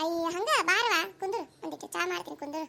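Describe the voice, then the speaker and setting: A woman puts on a squeaky, cartoonish character voice at an extremely high pitch. She keeps a moderate pace. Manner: coaxing, chatty.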